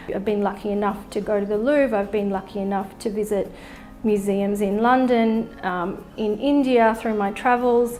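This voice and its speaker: A woman's fairly high voice in an Australian accent, fairly even intonation, music in the background and audible room echo. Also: moderate pace. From Australia (Melbourne). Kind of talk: personal narrative interview. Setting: artist's studio.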